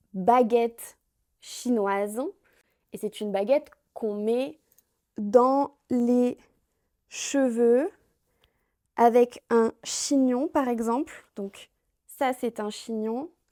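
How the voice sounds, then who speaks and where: In a very clean recording with a silent background and a dry, close sound with no echo, a woman speaks very slowly in a dark, mellow tone at a fairly high pitch, with ordinary pitch variation and long, frequent pauses. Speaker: French teacher. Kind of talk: language lesson vlog. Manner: slow and clear.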